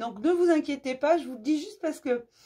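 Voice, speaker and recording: A woman's high, lively voice with a dark, mellow tone. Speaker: spiritual channel host giving daily messages. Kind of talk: daily inspirational message to viewers. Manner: warm, affectionate.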